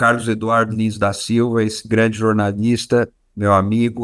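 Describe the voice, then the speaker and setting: A man speaks at medium pitch. His intonation stays flat and monotone. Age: 60s. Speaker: journalist and professor. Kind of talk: webinar lecture. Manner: hesitant, many fillers.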